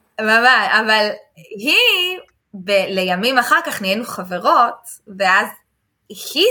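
A woman speaks in a raised, projected voice. Her tone is animated, bright, and sharp. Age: 30s. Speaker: English teacher and entrepreneur. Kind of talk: casual interview.

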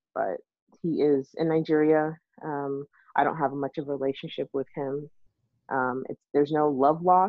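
Speaking at a moderate pace, a woman uses a very deep, low pitch and fairly even intonation. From Texas. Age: 30s. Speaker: IT worker and mother. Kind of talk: casual interview.

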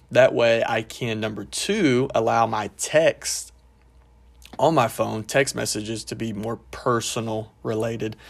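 The speaker talks at a fairly slow pace with fairly even intonation and vocal fry. The recording is very clean, with a silent background. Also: man, medium pitch for a man. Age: 30s. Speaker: pastor and podcast host. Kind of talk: solo podcast talk. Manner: casual, with frequent fillers.

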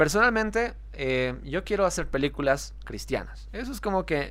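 A man talks fairly slowly, captured in a very clean recording against a silent background. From Bolivia. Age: 30s. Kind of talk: devotional monologue. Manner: animated.

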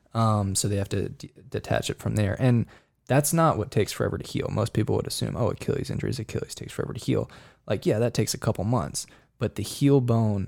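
A man speaks at a medium pitch with vocal fry, on a very clean recording with a silent background. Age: 20s. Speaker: professional runner. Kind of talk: casual chat. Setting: studio.

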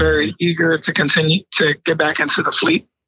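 In an American accent, a man with a fairly high pitch speaks at a fairly quick pace. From Bridgeport, Connecticut, US. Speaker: real estate investor, Marine veteran. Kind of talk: interview.

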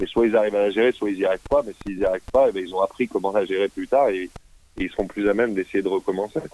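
Here a man speaks very fast. His pitch sits fairly low. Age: 30s. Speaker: business incubator founder and mentor. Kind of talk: interview. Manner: halting.

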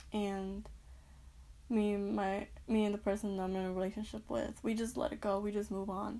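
At a moderate pace, a woman with an American accent speaks at a medium pitch in a dark, mellow, somewhat breathy tone. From North Carolina, US South. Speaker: podcast host. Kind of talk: solo monologue podcast.

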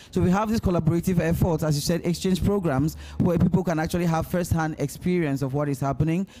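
Over noticeable background noise, a man talks very fast and high-pitched with hardly any pauses and fairly even intonation. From Ghana. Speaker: LGBTQ activist. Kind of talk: live panel discussion.

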